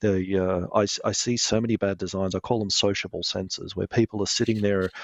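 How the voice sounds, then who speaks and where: At a fairly quick pace, a man with an Australian accent speaks in a fairly low pitch with monotone, flat intonation. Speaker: lighting product manager. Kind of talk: interview.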